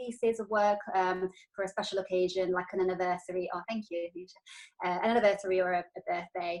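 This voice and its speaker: A woman speaks with an Italian accent. Her pace is very fast. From Italy. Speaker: wedding stationery designer. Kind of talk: business presentation. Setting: video call. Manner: hesitant, many fillers.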